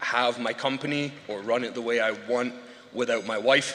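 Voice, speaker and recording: A man with a Scottish accent, medium-pitched, fairly slow and fairly even in intonation, against noticeable background noise. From Scotland, rural farming background. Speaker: award winner, installation business owner. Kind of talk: acceptance speech. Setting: awards show stage with audience. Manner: halting, many filler words.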